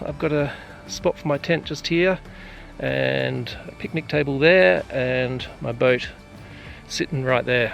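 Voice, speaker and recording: With music in the background, a man speaks very slowly in an Australian accent. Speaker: adventure vlogger. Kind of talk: casual vlog narration. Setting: outdoors. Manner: soft-spoken.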